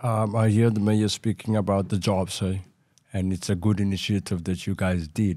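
On a very clean recording with a silent background, a man speaks at a moderate pace in a fairly low pitch, his tone dark and mellow and his intonation monotone and flat. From Cape Town, South Africa. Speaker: former gangster, community voice. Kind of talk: interview discussion.

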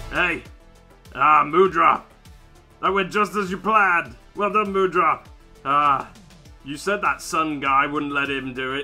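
A man puts on a character voice with a fairly high pitch, speaking at a fairly slow pace with long, frequent pauses while faint music plays in the background. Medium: role play. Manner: teasing, playful.

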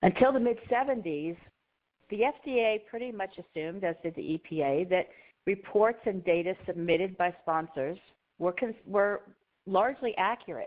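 A woman in a plain, everyday voice, medium in pitch, with lively intonation and a fairly slow pace. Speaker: compliance consultant, presenter. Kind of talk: webinar presentation.

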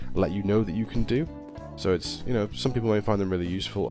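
With music in the background, a man at a fairly low pitch talks at a very fast pace with lively intonation. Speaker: gaming video creator. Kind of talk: gameplay tutorial narration. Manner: mumbly.

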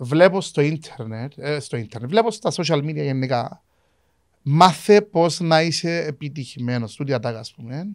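Against a quiet background, a man talks at a fairly slow pace. His pitch is fairly high and his intonation lively. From Cyprus. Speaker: podcast host. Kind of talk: casual interview chat. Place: studio. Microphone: studio mic.

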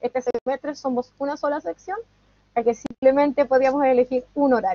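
Against a quiet background, a woman speaks in a high voice with a dry sound and no echo. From Chile. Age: 30s. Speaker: student. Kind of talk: testimony. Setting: video call. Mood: friendly, smiling. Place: home room. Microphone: video call.

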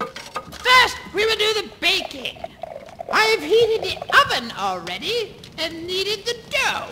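This put-on character voice sounds female and sits at an extremely high pitch, moving at a fairly slow pace. Clear background noise is present. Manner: harsh, impatient, scornful.

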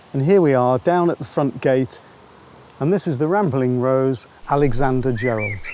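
The man's voice has a dark, mellow tone and medium pitch. He speaks at a moderate pace. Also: ordinary pitch variation.

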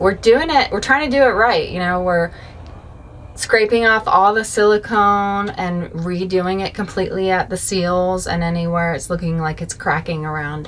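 Light background noise sits under a voice at a moderate pace with ordinary pitch variation. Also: woman. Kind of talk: interview answer. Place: home room. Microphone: camera far.

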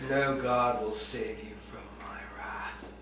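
A man speaks at a very slow pace in a put-on character voice, his pitch medium. Background noise is clear, with a slight echo. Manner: menacing, contemptuous.

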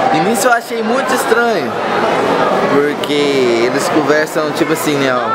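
Speech at a moderate pace under loud background noise. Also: man. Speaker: vlogger. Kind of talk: casual vlog talk to camera. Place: shop. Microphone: phone near.

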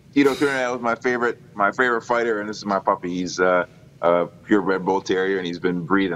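At a very fast pace, a man with an American accent talks at a fairly low pitch with ordinary pitch variation over light background noise. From Minnesota. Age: 30s. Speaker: professional boxer. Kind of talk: interview. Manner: halting. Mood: relaxed, friendly. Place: home room. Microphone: video call.

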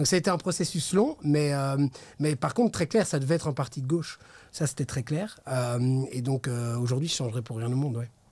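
This man talks at a fairly quick pace with ordinary pitch variation. His voice is somewhat breathy. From Brussels, Belgium. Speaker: regional MP, politician; politician. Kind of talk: political interview. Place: studio. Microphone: studio mic.

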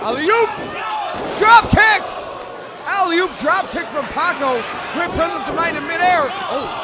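Fairly slow speech with long, frequent pauses over loud background noise. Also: dry sound with no echo. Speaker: wrestling commentator. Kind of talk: live wrestling commentary. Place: hall. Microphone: headset.

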